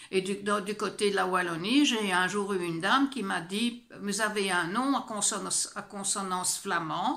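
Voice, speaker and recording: There is noticeable background noise behind a woman of medium pitch. She talks at a fairly slow pace with ordinary pitch variation and hardly any pauses. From Belgium, French-speaking. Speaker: vlogger. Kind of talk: personal vlog. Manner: animated, indignant; hesitant, many fillers.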